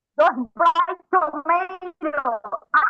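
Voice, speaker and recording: A woman uses a raised, projected voice at an extremely high pitch and a very slow pace. Her tone is bright and sharp, with fairly even intonation, and the sound is dry and close with no echo. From Panama. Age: 70s. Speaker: call-in participant. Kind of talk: casual chat.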